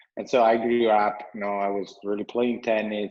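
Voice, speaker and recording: A man at a moderate pace with an Italian accent and fairly even intonation. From Italy. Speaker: entrepreneur, company CEO. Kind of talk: podcast interview.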